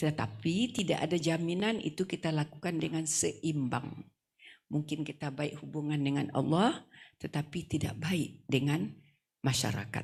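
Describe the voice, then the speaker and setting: A woman speaks with a very deep, low pitch and vocal fry. Her pace is fairly slow, and her pitch varies in an ordinary way. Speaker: female Islamic preacher. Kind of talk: wedding sermon. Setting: wedding reception.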